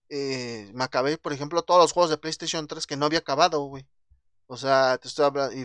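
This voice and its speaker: A man with a fairly high pitch is heard in a dry, close sound with no echo over a quiet background. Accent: Mexican. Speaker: podcast host. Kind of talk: casual chat.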